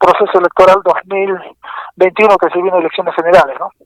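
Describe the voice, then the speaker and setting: The sound is dry and close, with no echo. A man talks in a high pitch. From Peru, Pasco region. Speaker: economist and journalist. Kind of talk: radio interview. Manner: halting, many repetitions and fillers.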